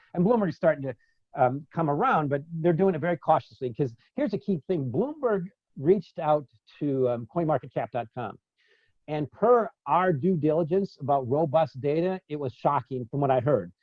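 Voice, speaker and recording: A man with an American accent speaks in a fairly high, somewhat breathy voice. His intonation is lively. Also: moderate pace. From US Midwest, South Side of Chicago. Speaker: market strategist. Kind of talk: conference talk Q&A.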